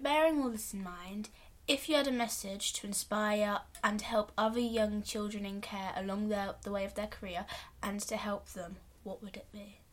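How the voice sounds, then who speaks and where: At a moderate pace and medium pitch, a woman with a normal speaking voice shows ordinary pitch variation and big swings in loudness. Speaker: podcast interviewer. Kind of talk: interview questions.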